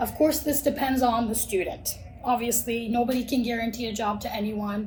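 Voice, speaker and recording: With audible room echo and noticeable background noise, a woman speaks at a fairly quick pace in a fairly high pitch with fairly even intonation. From Turkey. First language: Turkish. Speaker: college recruitment manager. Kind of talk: podcast interview.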